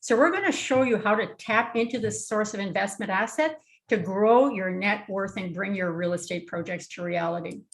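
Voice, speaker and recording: Against a quiet background, a woman with a somewhat breathy, medium-pitched voice speaks at a moderate pace with hardly any pauses and ordinary pitch variation. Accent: Canadian. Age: 60s. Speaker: real estate investor presenter. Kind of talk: webinar presentation.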